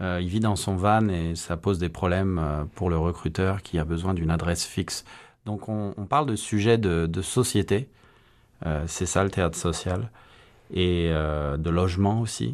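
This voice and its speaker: The speech moves at a fairly slow pace with ordinary pitch variation over a quiet background. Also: man, very deep, low pitch for a man. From France. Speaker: amateur stage actor. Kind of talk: radio interview. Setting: studio.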